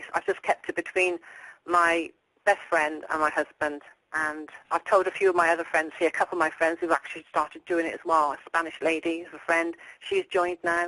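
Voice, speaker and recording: In an English accent, this bright, sharp voice moves at a fairly quick pace with monotone, flat intonation, the sound dry and close with no echo. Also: woman. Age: 60s. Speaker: dieter sharing weight-loss success. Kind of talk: interview.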